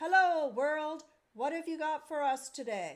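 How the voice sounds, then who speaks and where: Putting on a character voice, a woman speaks in a raised, projected voice at a high pitch and a fairly slow pace. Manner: loud, cheerful.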